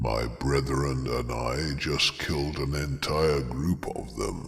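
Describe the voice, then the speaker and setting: A man speaks at a fairly slow pace in a put-on character voice with a very deep, low pitch. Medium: read story. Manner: steady, grave.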